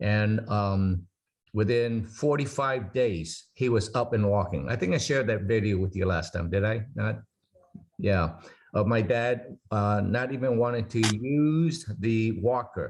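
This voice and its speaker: Ordinary pitch variation from a man, the pace fairly slow. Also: medium pitch for a man, very even loudness. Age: 60s. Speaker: product presenter. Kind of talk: Zoom Q&A presentation. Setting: video call. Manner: halting.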